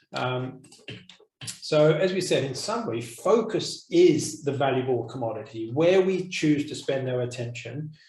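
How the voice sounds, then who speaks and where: There is audible room echo as a man with a fairly high pitch speaks with lively intonation. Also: fairly slow pace. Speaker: course teacher. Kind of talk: online course discussion. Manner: soft-spoken.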